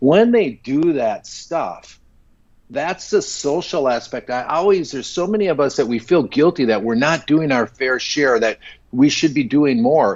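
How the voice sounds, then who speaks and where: With a plain, everyday voice, a man speaks fairly slowly at a fairly high pitch and with lively intonation. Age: 60s. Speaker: entrepreneur. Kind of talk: casual chat.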